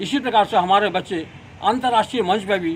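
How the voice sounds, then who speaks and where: Using ordinary pitch variation, a man speaks in a high pitch. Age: 80s+. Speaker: martial arts coach. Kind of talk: interview statement.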